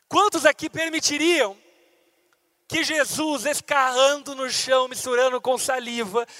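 This man's voice sits at an extremely high pitch, with a dry, close sound and no echo. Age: 30s. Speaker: pastor. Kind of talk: sermon.

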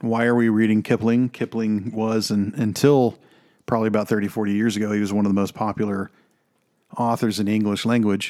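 A man's fairly low, dark, mellow voice in a Texan accent, fairly quick and monotone, on a very clean recording with a silent background. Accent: Texan American. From Texas. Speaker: film podcast host. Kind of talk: film commentary monologue. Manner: rambling, unscripted.

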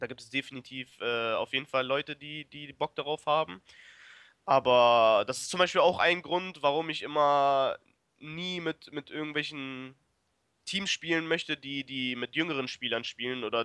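A man's bright, sharp voice at a fairly high pitch, with ordinary pitch variation and big swings in loudness, dry and close with no echo against a quiet background. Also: moderate pace. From Germany, Braunschweig. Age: 20s. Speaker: esports player. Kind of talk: interview. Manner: hesitant, many fillers.

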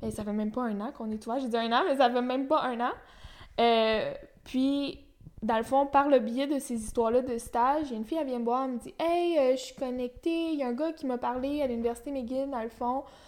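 Here is a woman with a Quebec accent and a high pitch. The recording is very clean, with a silent background. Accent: Québécois French. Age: 20s. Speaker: young entrepreneur. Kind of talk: interview.

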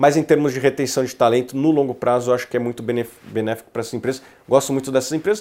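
A man talks at a very fast pace at a medium pitch. His tone is dark and mellow. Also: fairly even intonation. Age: 30s. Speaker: investment research executive. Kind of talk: casual interview.

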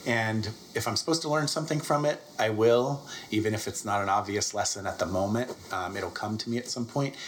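Over noticeable background noise, a man at a medium pitch talks at a fairly quick pace with ordinary pitch variation. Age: 40s. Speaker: business founder and executive. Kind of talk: interview testimony.

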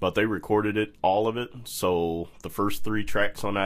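A relaxed tone at a fairly slow pace. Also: man. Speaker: jazz organist and bandleader. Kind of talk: casual interview chat. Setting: studio. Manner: relaxed, laid-back, jokey.

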